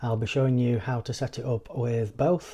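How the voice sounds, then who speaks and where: The voice is dark and mellow, with a British accent. It moves at a moderate pace. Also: man. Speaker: tech reviewer. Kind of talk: product review tutorial. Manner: flat.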